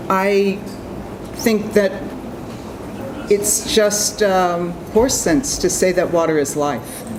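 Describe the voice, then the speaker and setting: A woman's fairly low voice at a very slow pace, ordinary pitch variation, with noticeable background noise and audible room echo. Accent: Boston. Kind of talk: convention speech.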